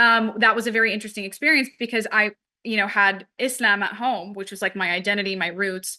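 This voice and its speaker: A woman's fairly high voice at a very fast pace, with fairly even intonation. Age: 20s. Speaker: manifestation coach and podcast host. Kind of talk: interview conversation. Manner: casual, filler-heavy.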